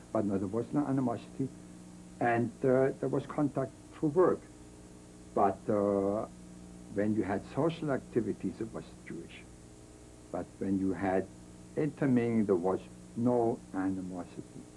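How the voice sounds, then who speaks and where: Pausing long and often, a man at a moderate pace uses a fairly low voice with very wide pitch swings. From Germany. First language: German. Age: 70s. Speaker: Holocaust survivor. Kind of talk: interview testimony.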